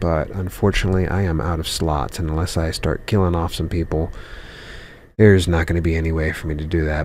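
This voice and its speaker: Quiet and very deep, with vocal fry, a man speaks at a moderate pace with ordinary pitch variation. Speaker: gaming youtuber. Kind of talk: gameplay commentary. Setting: at home. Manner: quiet, kept down.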